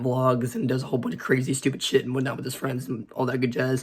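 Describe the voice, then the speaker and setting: A man's medium-pitched voice at a very fast pace, fairly even in intonation, over noticeable background noise. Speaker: YouTuber. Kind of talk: casual vlog commentary. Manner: halting.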